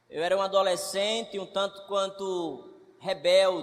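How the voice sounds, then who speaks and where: Here a man talks at a fairly slow pace. His voice sits at a high pitch. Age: 30s. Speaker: preacher. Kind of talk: sermon.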